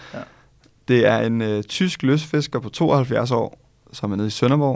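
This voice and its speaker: A man of medium pitch speaks at a fairly slow pace. His pitch varies in an ordinary way. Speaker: law student and podcast co-host. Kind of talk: casual chat.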